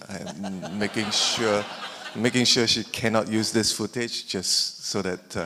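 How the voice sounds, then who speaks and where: Over noticeable background noise, a man speaks fairly slowly in a fairly low pitch with fairly even intonation. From Singapore. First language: not English. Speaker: filmmaker. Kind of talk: panel discussion.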